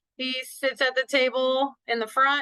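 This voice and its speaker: A woman's loud, high-pitched voice, bright and sharp in tone, comes at a fairly slow pace. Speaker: middle school teacher. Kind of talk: online parent meeting. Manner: casual, rambling.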